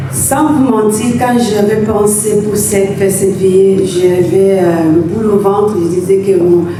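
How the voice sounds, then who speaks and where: A woman speaks at a medium pitch, fairly slowly, with hardly any pauses and ordinary pitch variation. Her loudness is very even, while noticeable background noise and audible room echo come through. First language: English (speaking French). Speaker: bereaved family member. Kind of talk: thank-you speech at a memorial wake. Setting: memorial gathering with audience. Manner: halting.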